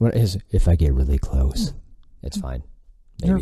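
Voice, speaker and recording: A man with a very deep, low pitch talks at a fairly slow pace with lively intonation, and there is noticeable background noise. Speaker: podcast host.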